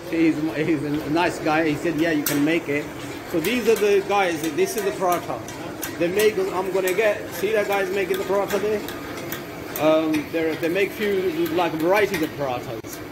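A man talks at a moderate pace with ordinary pitch variation. There is noticeable background noise. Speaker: food vlogger. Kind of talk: casual vlog chat. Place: cafe. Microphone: phone near.

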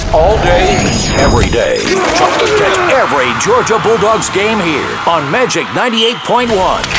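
Over music in the background, a man speaks at an extremely high pitch with very wide pitch swings. His pace is fairly slow and his loudness very even. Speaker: radio imaging voice. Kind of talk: radio station imaging demo.

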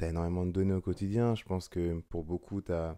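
The voice has a dark, mellow tone, set against a quiet background. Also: man. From France, Seine-et-Marne; France. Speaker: photographer; guest. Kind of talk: casual chat. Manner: hesitant, many fillers. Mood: calm, reflective. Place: home room. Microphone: studio mic.

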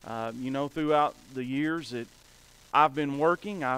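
At a fairly slow pace, a man talks with ordinary pitch variation in a dry sound with no echo. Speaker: preacher. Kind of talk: sermon. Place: church.

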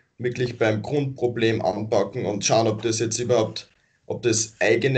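A man with a somewhat breathy voice talks at a moderate pace in a monotone, flat intonation. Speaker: activist group member; interview guest. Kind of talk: interview. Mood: calm, friendly, smiling. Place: home room. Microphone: video call.

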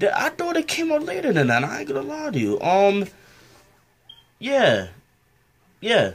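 The speaker is a man going at a fairly slow pace. Long pauses come often. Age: young. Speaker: reaction video creator. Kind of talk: casual reaction to video. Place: home room. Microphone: webcam.

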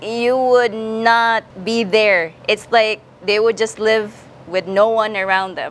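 Speaking at a very slow pace with fairly even intonation, a woman talks in a Visayan Filipino accent. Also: fairly high pitch for a woman. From Philippines. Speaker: vlogger. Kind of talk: vlog interview. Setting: outdoors. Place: street. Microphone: lapel.

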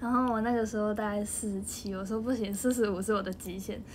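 A fairly quick, somewhat breathy woman's voice, fairly high in pitch, with a Taiwanese accent. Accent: Taiwanese Mandarin. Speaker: idol group member. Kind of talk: casual livestream chat. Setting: home livestream. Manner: animated.

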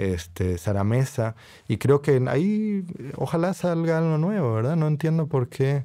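Slowish in pace, a man with a dark, mellow tone moves through very wide pitch swings. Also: fairly high pitch for a man. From Costa Rica and Puerto Rico. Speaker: novelist and professor. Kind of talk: casual conversation.

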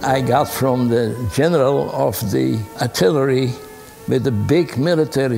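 Faint music plays in the background. Over it, a man speaks at a fairly slow pace. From Netherlands. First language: Dutch. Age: 80s+. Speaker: war survivor recounting childhood memories. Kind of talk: documentary interview answer. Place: home room.

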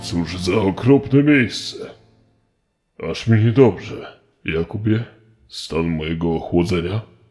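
Over faint background music, a man uses a put-on character voice at a fairly low pitch, moving at a fairly slow pace with long, frequent pauses. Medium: machinima.

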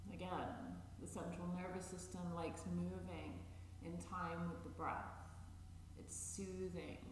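A man speaks very slowly with a very deep, low pitch and monotone, flat intonation. Audible room echo and light background noise surround him. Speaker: chair yoga instructor. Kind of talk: guided meditation; guided chair yoga class. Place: empty room.

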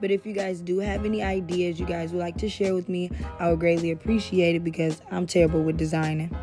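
Over clear background music, a woman speaks very fast in a fairly low voice with fairly even intonation. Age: 20s. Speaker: body contouring technician. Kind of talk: casual talk to camera. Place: empty room. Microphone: phone near.

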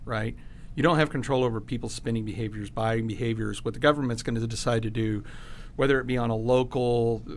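The voice is a plain, everyday voice, and its intonation stays fairly even. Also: man. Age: 40s. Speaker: podcast host, realtor and Marine veteran; podcast guest. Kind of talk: interview. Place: studio. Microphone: studio mic.

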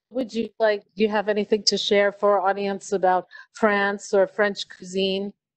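The voice is monotone and flat at a fairly slow pace, recorded dry with no echo against a quiet background. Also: woman. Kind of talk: live-streamed interview and moderation. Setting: on location in a restaurant, live stream. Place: cafe.

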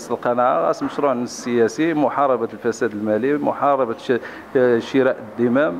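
A man speaks with ordinary pitch variation and very even loudness. Light background noise sits behind him. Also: moderate pace. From Morocco. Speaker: local politician. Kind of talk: interview. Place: home room. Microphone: handheld.

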